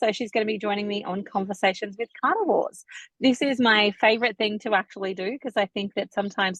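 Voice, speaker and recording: An unremarkable speaking voice from a woman at medium pitch, fairly quick in pace, with ordinary pitch variation, a dry, close sound with no echo and a quiet background. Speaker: naturopath and podcast host. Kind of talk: podcast interview.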